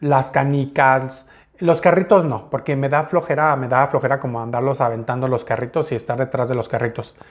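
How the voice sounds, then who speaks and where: A man speaks in a fairly high, unremarkable speaking voice. His pitch moves with ordinary variation. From Mexico, Uruapan, Michoacán. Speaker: YouTuber. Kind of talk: personal story monologue. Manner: casual, conversational.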